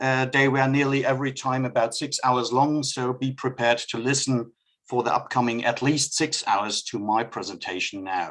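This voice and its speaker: Speaking in a German accent, a man keeps a moderate pace at a medium pitch. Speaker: customs expert. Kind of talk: presentation. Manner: reading from notes.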